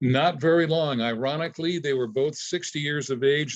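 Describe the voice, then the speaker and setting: This is a plain, everyday voice at a moderate pace with ordinary pitch variation. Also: man. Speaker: retired disc jockey. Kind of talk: interview answer. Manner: casual, conversational.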